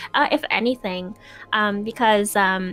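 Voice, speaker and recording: There is music behind the voice. The speaker is a woman. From Quebec. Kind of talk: casual chat.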